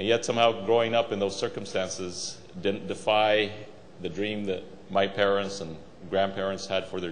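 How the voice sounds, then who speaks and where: The man's fairly low voice is monotone and flat, moving at a fairly quick pace. Audible room echo and noticeable background noise fill the recording. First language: Spanish. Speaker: Senate candidate. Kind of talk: political speech.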